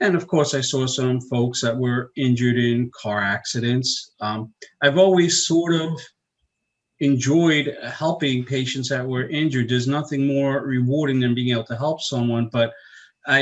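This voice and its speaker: Speaking fairly slowly in a New York accent, a man keeps a medium pitch with ordinary pitch variation. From US Northeast, Long Island, New York. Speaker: chiropractor. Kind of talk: interview.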